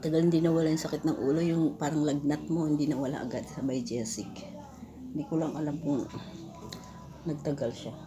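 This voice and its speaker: Music plays behind a woman whose very deep, low voice carries ordinary pitch variation, and the room has audible echo. She moves at a fairly quick pace but leaves long, frequent pauses. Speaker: vlogger. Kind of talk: casual vlog chat. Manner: halting.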